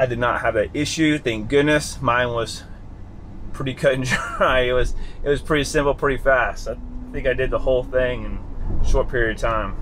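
Over light background noise, a man speaks with monotone, flat intonation. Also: moderate pace. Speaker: car owner vlogger. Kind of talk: casual vlog chat. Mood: cheerful, relaxed. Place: car. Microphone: phone near.

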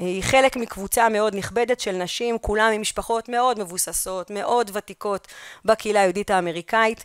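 In a dry recording with no echo and a quiet background, a woman speaks at a moderate pace with a fairly high pitch and fairly even intonation. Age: young. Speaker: history teacher and researcher; history teacher. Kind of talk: conference lecture. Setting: conference hall. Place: hall.

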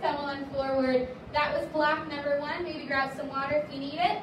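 Audible room echo and noticeable background noise fill the recording. A woman speaks at a high pitch and a fairly slow pace. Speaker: fitness instructor. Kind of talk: workout class instruction. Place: gym.

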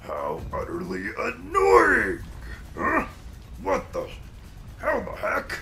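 Over clear background noise, a put-on character voice moves at a very slow pace with long, frequent pauses. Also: man, extremely high pitch for a man. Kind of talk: comic villain overacting. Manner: raging, menacing, then despairing.

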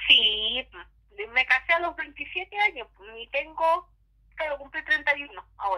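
A high-pitched woman in a Chilean accent, very slow, with lively intonation and long, frequent pauses. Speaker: YouTuber. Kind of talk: casual chat. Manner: animated.

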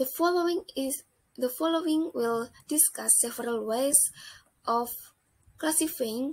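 A woman with an Indonesian accent speaks at a fairly slow pace in a high voice with lively intonation. The recording is very clean, with a silent background. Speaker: accounting student. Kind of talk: student project presentation.

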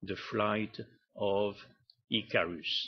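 A man speaks with a French accent. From Morocco, then France. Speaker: artist. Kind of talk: presentation talk.

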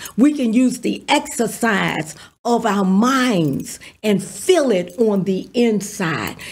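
Somewhat breathy, a woman talks at a very slow pace and a fairly high pitch with lively intonation. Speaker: pastor. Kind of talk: sermon. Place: studio. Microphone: studio mic.

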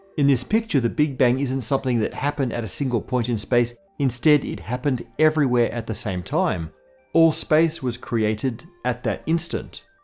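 Faint music sits under the voice of a man talking at a moderate speed. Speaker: science show host. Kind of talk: educational explainer.

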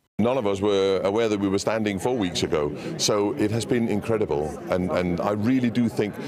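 Against clear background noise, a man talks at a fairly quick pace and fairly low pitch with ordinary pitch variation.

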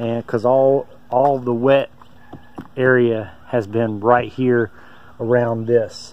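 The delivery is very slow, with monotone, flat intonation. The sound is dry, with no echo. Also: man. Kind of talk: casual vlog chat. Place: open country. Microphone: phone near.

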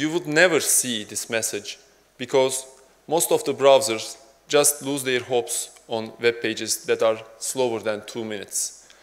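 Ordinary pitch variation at a fairly slow pace. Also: man. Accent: Turkish. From Turkey. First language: Turkish. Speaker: software developer; conference speaker. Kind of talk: conference talk. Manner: halting. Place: hall.

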